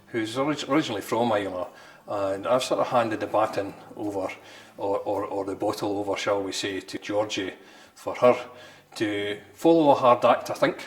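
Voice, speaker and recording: There is noticeable background noise. A man with a Scottish accent speaks at a fairly low pitch. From Scotland, near Stirling. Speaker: distillery manager. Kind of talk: interview. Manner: halting.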